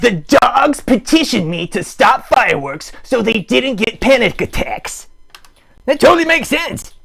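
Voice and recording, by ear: A man in a cartoonish character voice, pitched extremely high, with big pitch swings and vocal fry. The tone is fairly bright with a slightly husky edge, at a fairly slow pace.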